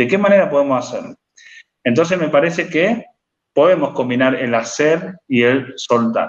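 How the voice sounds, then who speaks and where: A man in a Rosario accent at a fairly high pitch, moderate pace and lively intonation. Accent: Argentine Spanish (Rosario). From Argentina, Rosario. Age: 30s. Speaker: life coach and writer. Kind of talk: interview conversation. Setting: live stream.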